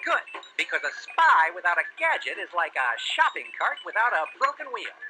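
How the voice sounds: A man's cartoonish character voice, high-pitched and bright and sharp in tone, with big pitch swings at a fairly quick pace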